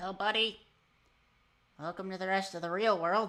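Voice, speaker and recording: On a very clean recording with a silent background, someone performs a put-on character voice at a middle pitch. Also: moderate pace. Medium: actual play.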